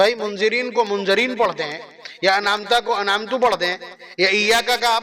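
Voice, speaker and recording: The speaker uses a raised, projected voice and a passionate tone with fairly even intonation, against noticeable background noise. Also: man. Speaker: Islamic scholar giving a sermon. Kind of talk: religious sermon (bayan) to an audience. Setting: public gathering (jalsa). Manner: emphatic, rhetorical, passionate.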